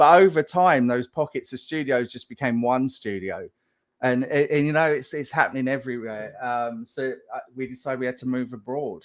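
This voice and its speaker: The recording is very clean, the background silent. The voice belongs to a man with an English accent. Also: medium pitch for a man, ordinary pitch variation, moderate pace. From England. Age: 50s. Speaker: game animation director. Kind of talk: live Q&A. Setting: live stream.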